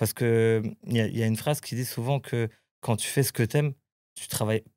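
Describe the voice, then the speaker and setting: Very fast speech with fairly even intonation comes through on a very clean recording with a silent background and a dry, close sound with no echo. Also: man, medium pitch for a man. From Portuguese family in France. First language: Portuguese (speaking French). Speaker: travel planner. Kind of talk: casual chat. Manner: halting.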